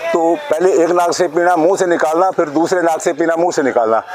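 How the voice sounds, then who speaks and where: Over noticeable background noise, a man in a high pitch talks at a moderate pace with fairly even intonation. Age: 70s. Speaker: yoga teacher. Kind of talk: instructional talk.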